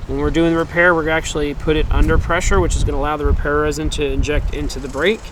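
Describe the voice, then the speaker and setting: A man at a very fast pace with hardly any pauses, over noticeable background noise. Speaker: windshield repair technician. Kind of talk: tutorial. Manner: casual, with fillers.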